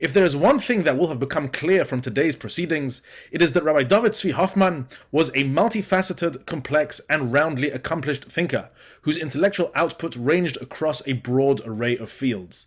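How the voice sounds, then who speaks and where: Lively intonation runs through the speech at a fairly quick pace. The accent is British. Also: man, fairly high pitch for a man. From Britain. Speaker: academic lecturer, student. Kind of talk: conference lecture. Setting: remote pre-recorded presentation. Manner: formal.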